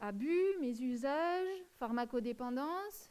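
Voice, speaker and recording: A woman speaks at a high pitch with lively intonation. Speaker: lecturer. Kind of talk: lecture. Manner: slow; halting.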